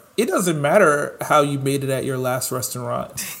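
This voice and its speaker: A normal speaking voice from a man with an American accent, fairly high in pitch, fairly slow and fairly even in intonation. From New York. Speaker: chef and podcast co-host. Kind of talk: casual chat.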